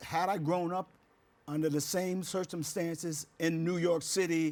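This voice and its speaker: Someone with an American accent speaks at a fairly slow pace in a monotone, flat delivery with very even loudness, on a very clean recording with a silent background. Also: man, high pitch for a man. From West Virginia, US. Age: 70s. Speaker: house music artist. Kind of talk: casual interview. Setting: studio. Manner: halting, many fillers.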